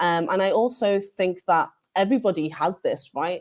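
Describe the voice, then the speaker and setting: A woman with a Liverpool accent and lively intonation. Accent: Scouse. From northern England, Liverpool. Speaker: librarian, keynote speaker. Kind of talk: conference keynote talk. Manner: hesitant, many fillers and restarts.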